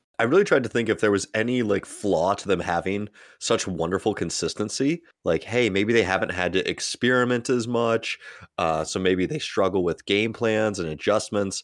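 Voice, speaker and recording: A man with a normal speaking voice talks at a moderate pace with ordinary pitch variation, in a very clean recording with a silent background. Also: fairly low pitch for a man. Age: 20s. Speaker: basketball podcast host. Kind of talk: casual chat.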